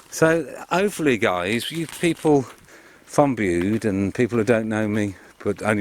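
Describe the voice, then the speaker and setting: There is noticeable background noise as a man speaks with a West Midlands accent. His pitch is medium and his intonation lively. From Worcestershire, English West Midlands. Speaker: vlogger. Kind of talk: casual vlog. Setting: outdoors.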